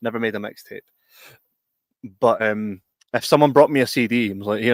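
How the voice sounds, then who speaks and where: A man speaks with a Scottish accent. His pace is fairly quick. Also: very clean recording, silent background. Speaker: podcast host. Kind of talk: casual chat. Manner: stutters at times.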